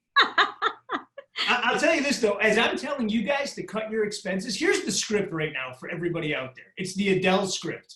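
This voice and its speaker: A man speaks in a raised, projected, high-pitched voice with an animated tone and hardly any pauses. His pitch swings very widely and his loudness shifts a lot. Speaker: real estate tech speaker. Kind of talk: webinar Q&A. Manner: fast.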